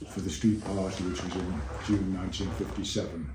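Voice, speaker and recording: A man's very deep, low voice with a Liverpool accent, ordinary pitch variation and audible room echo. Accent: Liverpool (Scouse). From Liverpool, England. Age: 80s+. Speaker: Beatles-era eyewitness and author. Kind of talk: interview. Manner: hesitant, with fillers.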